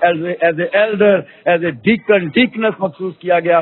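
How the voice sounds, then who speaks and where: A high-pitched man at a fairly slow pace, with fairly even intonation. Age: 50s. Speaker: pastor. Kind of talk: interview. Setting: church event, on location. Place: church. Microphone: handheld.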